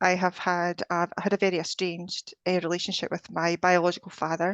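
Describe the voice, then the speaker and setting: A woman with a Scottish accent speaks in a fairly low pitch, the sound dry and close with no echo. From Scotland. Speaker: energy healer and life coach. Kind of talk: interview conversation.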